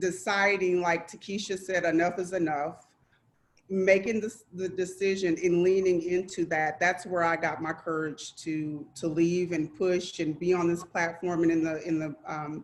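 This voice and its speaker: Shaky and fairly low-pitched, a woman speaks at a moderate pace with fairly even intonation. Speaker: domestic violence survivor speaker. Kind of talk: testimony. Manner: shaky voice.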